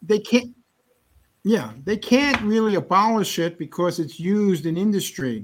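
This man has a high pitch and lively intonation. He talks at a fairly slow pace. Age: 60s. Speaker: alternative health doctor. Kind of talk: interview. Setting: video call.

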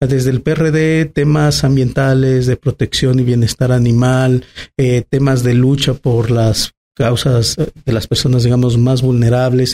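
This man talks at a fairly slow pace with medium pitch, a dark, mellow tone and fairly even intonation, in a dry, close sound with no echo. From Mexico, Aguascalientes. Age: 30s. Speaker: politician. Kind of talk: interview. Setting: restaurant.

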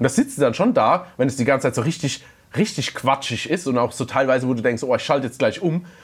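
On a very clean recording with a silent background, a man with a somewhat breathy, fairly high voice talks very fast with ordinary pitch variation. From Palatinate, Germany. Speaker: podcast co-host. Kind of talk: casual chat.

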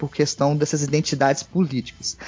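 Over music in the background, a man with a fairly high pitch talks at a moderate pace. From Minas Gerais, Brazil (Belo Horizonte, Divinópolis). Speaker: history teacher and researcher. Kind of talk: casual chat. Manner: halting, many fillers.

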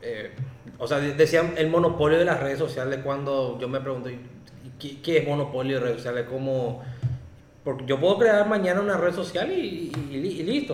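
Moderate pace and ordinary pitch variation, with noticeable background noise and audible room echo. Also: man. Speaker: podcast host. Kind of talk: casual chat.

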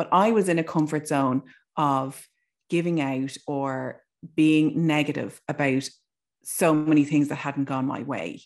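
In a quiet background, a woman with an Irish accent speaks at a fairly slow pace, her very deep, low voice carrying fairly even intonation. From Ireland. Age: 40s. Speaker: broadcaster. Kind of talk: casual chat.

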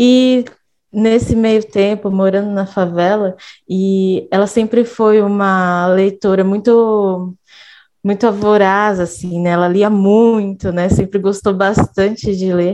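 Dark and mellow in tone, a woman speaks at a very slow pace with monotone, flat intonation. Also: medium pitch for a woman. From Minas Gerais, Brazil. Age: 20s. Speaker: educator and student. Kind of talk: podcast conversation.

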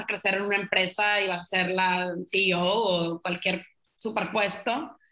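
A woman speaks at a fairly slow pace with a medium pitch. Hers is an unremarkable speaking voice. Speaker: travel agency owner. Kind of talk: casual interview.

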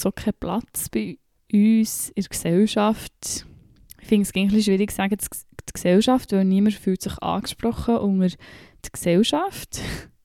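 A woman's dark, mellow voice at medium pitch, fairly slow and fairly even in intonation, dry and close with no echo, in a very clean recording over a silent background. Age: 20s. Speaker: podcaster. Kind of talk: personal monologue.

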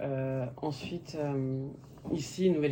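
A woman's very deep, low pitch with ordinary pitch variation. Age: 40s. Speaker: daughter of a Cambodian refugee. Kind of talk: interview conversation.

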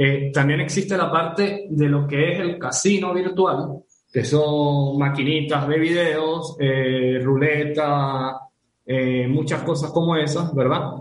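Very slow, somewhat breathy speech from a man at a fairly high pitch, with fairly even intonation, very even loudness and audible room echo. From Venezuela. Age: 30s. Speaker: professional poker player and gamer. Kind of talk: casual interview.

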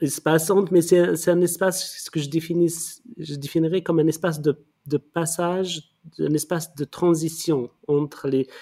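A man's dark, mellow tone, fairly high in pitch, monotone and flat, at a moderate pace, with a dry, close sound and no echo. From Morocco, Rif region. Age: 50s. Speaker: art curator and critic. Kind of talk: interview. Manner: halting, many repetitions.

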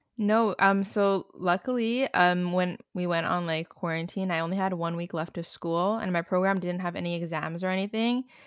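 A woman speaks in a plain, everyday voice at a fairly low pitch and a moderate pace, with fairly even intonation and hardly any pauses, the sound dry and close with no echo on a very clean recording with a silent background. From Montreal, Canada. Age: 20s. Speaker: YouTuber and student. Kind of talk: casual chat.

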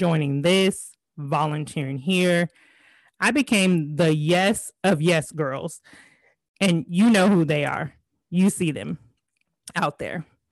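In an American accent, a woman speaks at a very slow pace with long, frequent pauses. The sound is dry and close, with no echo. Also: ordinary pitch variation, quiet background. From California. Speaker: podcast host, life coach. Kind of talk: personal monologue. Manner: high energy.

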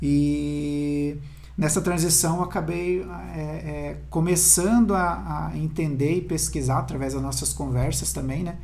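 A man speaks at a fairly slow pace with audible room echo and noticeable background noise. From southern Brazil (Paraná / Santa Catarina). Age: 30s. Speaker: architect. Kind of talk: interview. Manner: halting.

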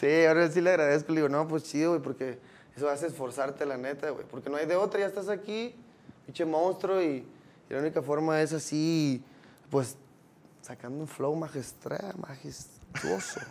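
A man speaks in an ordinary speaking voice, fairly high in pitch. His pace is moderate and his pitch variation ordinary. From Mexico, Los Cabos. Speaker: rapper. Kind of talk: casual chat.

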